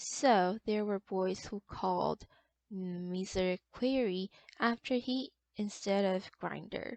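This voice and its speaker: Speaking very slowly with a non-native accent, a woman uses a medium pitch and ordinary pitch variation. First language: non-native English speaker. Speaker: literature enthusiast reading stories. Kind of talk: short story reading.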